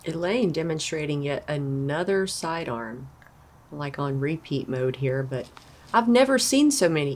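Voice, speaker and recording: With a very deep, low pitch, a woman speaks at a fairly slow pace and with lively intonation. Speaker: disc golf commentator. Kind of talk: live commentary. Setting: outdoors. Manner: loud, excitable.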